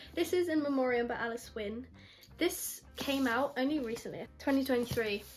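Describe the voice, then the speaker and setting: The pace is moderate. Pitch variation is ordinary. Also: woman. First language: not English. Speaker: book youtuber. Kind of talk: casual vlog book review. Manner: animated, enthusiastic; halting, repeats words.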